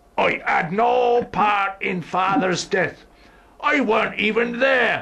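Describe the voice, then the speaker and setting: A man puts on a character voice at a high pitch, speaking at a fairly slow pace. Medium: audio drama.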